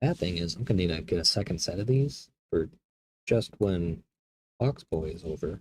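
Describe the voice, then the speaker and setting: Soft-spoken and somewhat breathy, a man with a dark, mellow tone talks at a moderate pace with very wide pitch swings. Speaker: hobby streamer building miniatures. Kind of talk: casual chat while building models.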